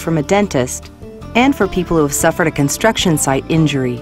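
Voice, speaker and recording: Music plays in the background as a woman speaks with lively intonation. Her pitch is very deep and low. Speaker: voice-over artist. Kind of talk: corporate promotional narration.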